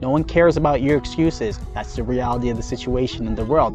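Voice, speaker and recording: Clear music plays in the background as a man talks at a fairly quick pace, the sound dry with no echo. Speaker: mindfulness channel host. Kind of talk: motivational talk. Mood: firm, challenging. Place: open country. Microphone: lapel.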